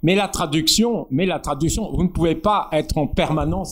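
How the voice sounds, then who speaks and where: With vocal fry and lively intonation, a man speaks at a moderate pace in a fairly high pitch. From northern France. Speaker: poet and essayist. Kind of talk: public talk with discussion.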